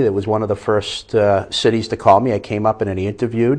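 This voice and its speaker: A man with a slight Boston accent, a fairly low pitch and monotone, flat intonation. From Boston area, US. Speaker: fire inspector. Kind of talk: interview.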